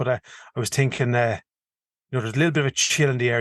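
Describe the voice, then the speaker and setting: A man with a strong Irish accent talks at a medium pitch with fairly even intonation, recorded dry and close with no echo against a quiet background. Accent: strong rural Irish (Kildare). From Ireland, County Kildare. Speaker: podcast co-host, hunter. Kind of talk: casual chat. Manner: fast.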